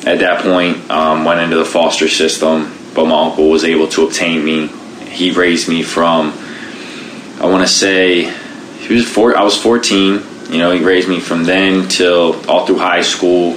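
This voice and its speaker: A man with an American accent speaks at a very deep, low pitch, fairly slowly, in a monotone, flat intonation with very even loudness. Noticeable background noise and audible room echo fill the recording. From Baltimore, Maryland. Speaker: Paralympic sprinter and military veteran. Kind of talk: interview, personal story.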